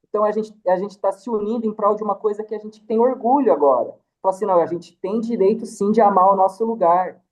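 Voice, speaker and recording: The speech moves very fast. Pauses hardly occur. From interior of São Paulo state, Vale do Paraíba. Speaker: artist and cultural project organizer. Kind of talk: casual interview chat.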